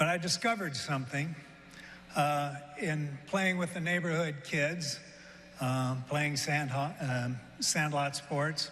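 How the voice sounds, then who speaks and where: A man with a Midwestern accent talks at a very slow pace, leaving long, frequent pauses. His pitch is fairly high with ordinary variation, and audible room echo surrounds him. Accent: American Midwest. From Kansas, US. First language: German. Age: 70s. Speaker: award recipient, physical education figure. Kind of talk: award acceptance speech. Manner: hesitant, many fillers.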